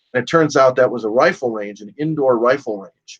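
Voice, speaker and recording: A man with an American accent uses a normal speaking voice at medium pitch, with ordinary pitch variation and a moderate pace, in a dry, close sound with no echo. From US Midwest, Chicago. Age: 60s. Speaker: gun rights advocate and radio host. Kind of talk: interview.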